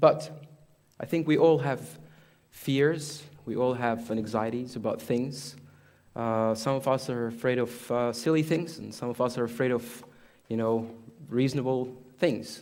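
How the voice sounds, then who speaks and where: A man with an Arabic accent speaks at a medium pitch and a fairly slow pace, with ordinary pitch variation, long, frequent pauses and audible room echo. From Egypt. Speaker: imam. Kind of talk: sermon. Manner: halting.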